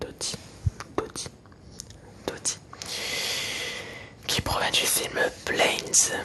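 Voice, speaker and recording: Whispering at a very slow pace with long, frequent pauses, a man is heard over noticeable background noise. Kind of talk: casual talk to camera. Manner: whispered.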